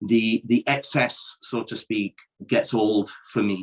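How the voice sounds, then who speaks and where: A man with a British accent is heard in a dry, close sound with no echo. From Yorkshire, England (Dewsbury). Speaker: professional wrestler. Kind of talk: casual chat.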